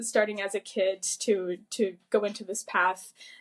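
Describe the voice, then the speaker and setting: A woman is speaking. She talks at a moderate pace. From Quebec, Gatineau. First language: French. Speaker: opera singer. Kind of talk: interview.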